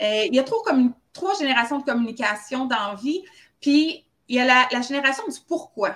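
Lively intonation from a woman with a high-pitched voice. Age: 40s. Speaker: founder of a holistic health training school. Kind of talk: casual interview.

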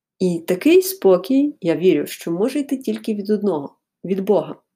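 A woman talks fairly slowly in a dark, mellow tone with lively intonation. The recording is very clean, with a silent background. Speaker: podcaster. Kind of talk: storytelling. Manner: unscripted, conversational.

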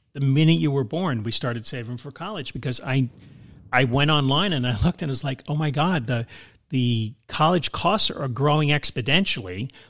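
In a very clean recording with a silent background, a man with an unremarkable speaking voice talks at a fairly quick pace with lively intonation. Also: fairly high pitch for a man. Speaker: podcast co-host, father. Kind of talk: casual chat.

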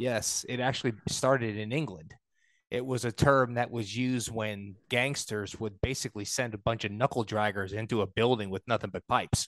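Against a quiet background, a man with an American accent speaks at a moderate pace in an unremarkable speaking voice, medium in pitch with fairly even intonation. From New York. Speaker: podcast host, knife maker. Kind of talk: casual interview.

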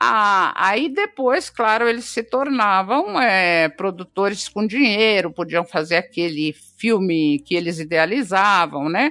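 Speaking very slowly with hardly any pauses, a woman holds a medium pitch and lively intonation. Her tone is bright and sharp, and her loudness is very even. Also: quiet background. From Brazil, Minas Gerais. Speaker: actress and screenwriter. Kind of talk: interview.

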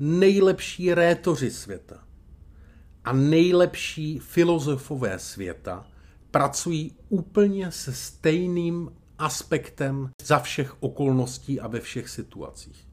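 At a very slow pace, a man with a fairly high pitch speaks with lively intonation. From Czechia, Brno (Moravia). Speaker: public speaking coach. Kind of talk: podcast tutorial monologue. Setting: hotel room.

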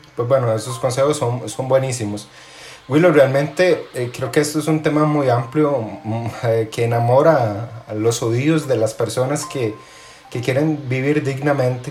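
Fairly slow and with fairly even intonation, a man is talking. Noticeable background noise runs underneath. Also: medium pitch for a man. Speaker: podcast host, finance brand co-founder. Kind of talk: casual interview. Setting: remote call.

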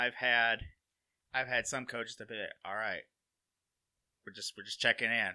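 A man with an Alabama accent speaks in a bright, sharp tone, recorded with a dry, close sound with no echo against a quiet background. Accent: US Southern (Alabama). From Alabama (Walker County area). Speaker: college sports equipment manager. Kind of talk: casual interview chat.

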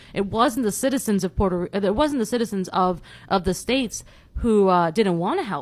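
Here a woman with an American accent uses an ordinary speaking voice at medium pitch. She keeps a moderate pace and ordinary pitch variation on a very clean recording with a silent background. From New York City, Bronx. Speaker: criminology professor. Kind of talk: casual chat.

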